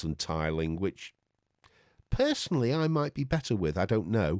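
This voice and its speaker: Very wide pitch swings stand out in a very clean recording with a silent background and a dry, close sound with no echo. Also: man. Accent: Lancashire. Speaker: tech YouTuber. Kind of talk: casual tech review talk. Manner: halting, repeated words.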